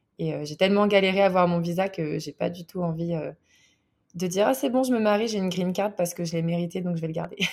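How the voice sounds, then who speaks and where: Her pitch sits fairly low, rising and falling in a normal way. The woman talks very fast. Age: 20s. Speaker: baker. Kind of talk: interview.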